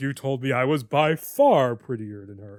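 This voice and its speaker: A man uses a put-on character voice at medium pitch. He keeps a moderate pace with ordinary pitch variation. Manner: smug, condescending.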